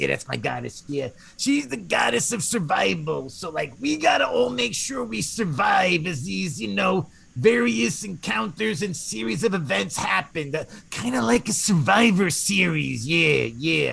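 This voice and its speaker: A man performs a put-on character voice. He keeps a moderate pace. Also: fairly high pitch for a man. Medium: actual play. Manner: casual, rambling.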